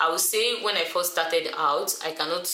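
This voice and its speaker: There is noticeable background noise and audible room echo as a woman talks at a fairly low pitch. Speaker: YouTuber. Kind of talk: tutorial. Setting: indoors, alone in a room. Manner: fast.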